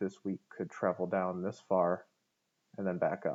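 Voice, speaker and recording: The background stays quiet here. A man talks through it at a fairly quick pace. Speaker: forex trading analyst. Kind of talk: tutorial.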